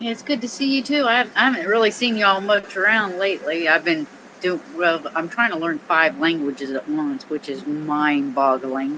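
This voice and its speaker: Noticeable background noise behind a woman with a Southern US accent, medium-pitched with very wide pitch swings. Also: moderate pace, hardly any pauses. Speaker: audio room participant. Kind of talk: casual chat. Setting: online audio room.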